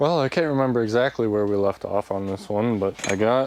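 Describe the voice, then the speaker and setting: A man speaks at a very fast pace with ordinary pitch variation over noticeable background noise. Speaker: DIY video maker. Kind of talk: casual tutorial. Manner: mumbling; rambling, casual. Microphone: small speaker mic, far from camera.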